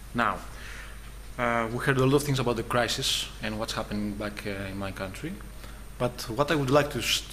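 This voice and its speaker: In a room with audible echo and noticeable background noise, a man talks at a fairly quick pace broken by long, frequent pauses. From Greece. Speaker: designer presenting his studio. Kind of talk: conference presentation. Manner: halting, many fillers.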